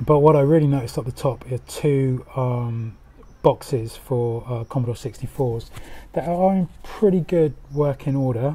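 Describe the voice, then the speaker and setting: In a dark, mellow tone, a man speaks fairly slowly and somewhat breathily with fairly even intonation. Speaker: retro game hunter vlogger. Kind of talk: casual vlog commentary. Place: shop. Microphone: phone near.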